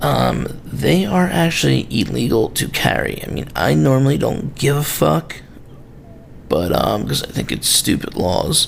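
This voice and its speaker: Over noticeable background noise, a man with a very deep, low voice speaks at a fairly slow pace, his pitch swinging very widely. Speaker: knife reviewer, video host. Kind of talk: casual product review. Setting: home video recording, late at night. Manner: halting, many fillers.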